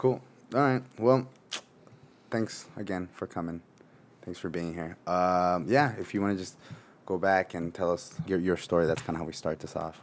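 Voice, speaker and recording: A man with an American accent speaks at a moderate pace, his very deep, low pitch showing ordinary variation. He leaves long, frequent pauses. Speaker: podcast host. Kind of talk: casual interview. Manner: casual, profane.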